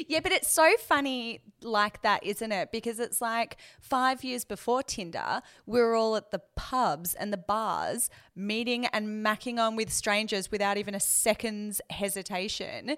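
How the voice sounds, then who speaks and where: A plain, everyday voice with ordinary pitch variation, on a very clean recording with a silent background. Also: woman, fairly high pitch for a woman, fairly slow pace. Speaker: podcast co-host. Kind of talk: casual interview chat.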